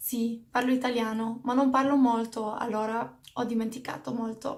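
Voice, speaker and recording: Moderate pace from a woman with a fairly high pitch. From Belgium. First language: not English. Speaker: lifestyle vlogger. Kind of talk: casual Q&A vlog.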